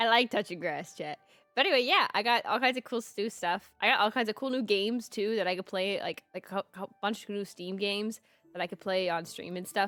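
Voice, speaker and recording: With music in the background, a woman of medium pitch speaks at a fairly quick pace with ordinary pitch variation. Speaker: vtuber streamer. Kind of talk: casual livestream chat.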